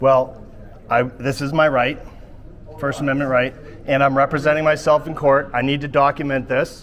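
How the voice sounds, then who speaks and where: Over noticeable background noise, a man talks at a moderate pace with a fairly high pitch, monotone, flat intonation and long, frequent pauses. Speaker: first amendment auditor. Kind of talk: heated confrontation. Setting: courthouse entrance. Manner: loud.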